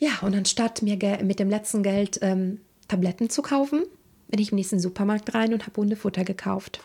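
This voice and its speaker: A woman speaks at medium pitch and a moderate pace, with ordinary pitch variation. Her tone is dark and mellow, and somewhat breathy. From Italy (Rome area). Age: 30s. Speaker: interpreter and singer. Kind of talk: casual interview.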